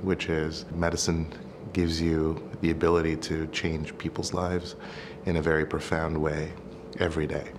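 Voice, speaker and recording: A man's very deep, low voice carries through noticeable background noise. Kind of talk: interview answer. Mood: warm, earnest. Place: office.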